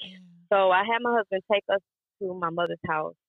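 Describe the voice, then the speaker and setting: Over music in the background, a woman with a fairly low pitch speaks at a moderate pace. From Mississippi. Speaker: caregiver. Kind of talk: testimony.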